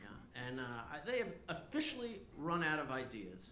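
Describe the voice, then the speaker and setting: Audible room echo follows a man whose pitch makes very wide swings. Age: 60s. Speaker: stand-up comedian. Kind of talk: stand-up. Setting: stage with audience.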